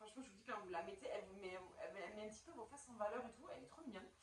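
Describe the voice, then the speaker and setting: There is audible room echo in this recording. A woman talks with lively intonation. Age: 30s. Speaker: YouTuber. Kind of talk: product review vlog. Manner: casual, hesitant with many fillers.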